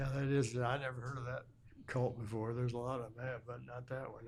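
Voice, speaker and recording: A man in a Midwestern American accent, medium pitch, somewhat breathy, with monotone, flat intonation. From Illinois, USA. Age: 80s+. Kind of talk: interview answer.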